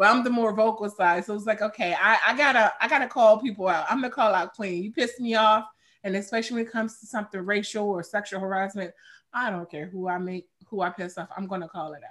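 In an American accent, a woman of medium pitch talks very fast with ordinary pitch variation and big swings in loudness. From Chicago. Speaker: craft beer advocate and influencer. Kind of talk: casual chat.

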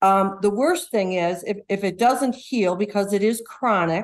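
The speaker has an unremarkable speaking voice with ordinary pitch variation. The pace is moderate. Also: woman. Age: 60s. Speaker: caller, widow. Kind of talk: phone-in consultation.

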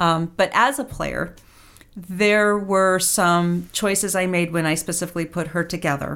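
A woman with an ordinary speaking voice talks at a fairly low pitch and a fairly slow pace. Her intonation is fairly even, in a very clean recording with a silent background. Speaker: tabletop role-playing player. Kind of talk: casual interview.

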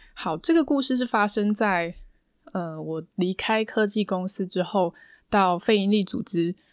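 A woman speaks with a Taiwanese accent at a fairly slow pace and ordinary pitch variation. The recording is very clean, with a silent background. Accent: Taiwanese Mandarin. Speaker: podcast host and counselor. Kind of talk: solo podcast monologue. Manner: calm, soothing.

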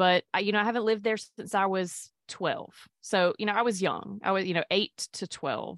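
In a Mississippi accent, a woman of medium pitch talks at a moderate pace with ordinary pitch variation, in a dry, close sound with no echo on a very clean recording with a silent background. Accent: Southern US (Mississippi). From Mississippi, US South. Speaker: physician and podcaster. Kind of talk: interview conversation.

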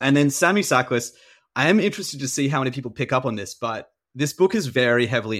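Over a silent background on a very clean recording, a man talks at a fairly quick pace. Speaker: thriller author and musician. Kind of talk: interview conversation.

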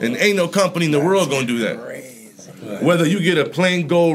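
This man keeps a moderate pace while noticeable background noise fills in behind him. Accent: American. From Florida. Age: 30s. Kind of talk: casual chat.

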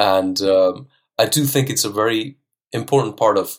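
A man with an Icelandic accent, medium pitch, ordinary pitch variation and a moderate pace, on a very clean recording with a silent background. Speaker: language teacher. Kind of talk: casual interview chat. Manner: laid-back, calm.

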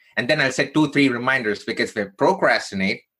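A man with an Indian accent speaks in a bright, sharp tone. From India (Chennai). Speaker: keynote speaker and career coach. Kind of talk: personal story interview.

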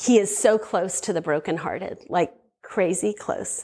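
This is a woman with an unremarkable speaking voice. She talks at a moderate pace with ordinary pitch variation. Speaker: speaker at a women's ministry event. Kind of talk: testimony. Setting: stage with audience.

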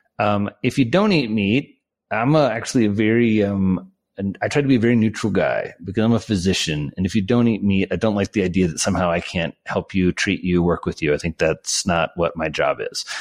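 Here a man speaks with an American accent in a normal speaking voice, fairly low in pitch. He moves at a fairly quick pace with ordinary pitch variation. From rural Indiana, US Midwest. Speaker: psychiatrist and author. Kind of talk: interview conversation.

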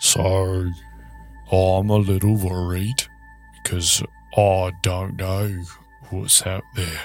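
Delivered at a very slow pace, a put-on character voice plays over clear music in the background. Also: man, very deep, low pitch for a man. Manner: slow, simple, earnest.

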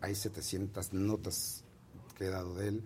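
A somewhat breathy voice with a dark, mellow tone. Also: man. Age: 50s. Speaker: entertainment columnist and publicist. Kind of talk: interview.

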